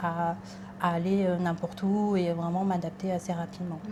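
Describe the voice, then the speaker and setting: A woman talks in a monotone, flat intonation. Noticeable background noise runs underneath. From Thailand, raised in France from age 9. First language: Thai (speaking French). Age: 20s. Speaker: interviewee. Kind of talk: casual interview. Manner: hesitant, many fillers.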